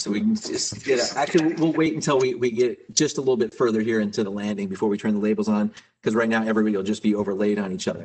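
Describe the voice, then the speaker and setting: A man with an American accent at a medium pitch, talking at a very fast pace with hardly any pauses. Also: ordinary pitch variation. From United States. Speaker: livestream host of geosteering competition. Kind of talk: live commentary. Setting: live stream.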